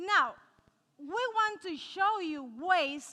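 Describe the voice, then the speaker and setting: In a Cuban accent, a woman uses a raised, projected voice with a bright, sharp tone and lively intonation. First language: Spanish. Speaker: nutritionist. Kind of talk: cooking demonstration talk to a live audience. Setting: live audience. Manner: animated.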